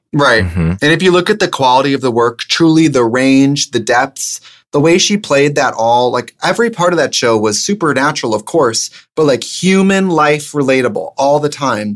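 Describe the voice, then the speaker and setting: A man with a normal speaking voice, fairly high pitch, lively intonation, very even loudness and a moderate pace. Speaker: drag performer. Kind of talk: casual chat.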